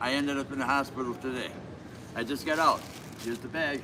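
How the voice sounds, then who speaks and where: With an American accent, a man speaks in a fairly high voice and fairly even intonation, with noticeable background noise present. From Wisconsin, US Midwest. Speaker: homeless passerby. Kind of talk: casual chat.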